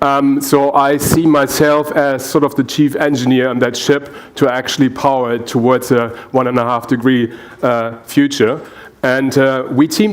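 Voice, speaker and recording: Noticeable background noise sits behind a man with a German accent. His pitch is fairly high and his pace moderate. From Germany. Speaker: energy researcher and engineer. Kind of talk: panel presentation. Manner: halting, many fillers.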